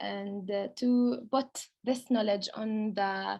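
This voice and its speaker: A woman talks with a Palestinian accent. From Palestine. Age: 20s. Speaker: lawyer and food heritage researcher. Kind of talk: online presentation. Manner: halting, many fillers.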